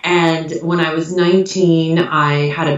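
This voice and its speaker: She speaks with a fairly low pitch against noticeable background noise. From US Midwest. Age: 40s. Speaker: author.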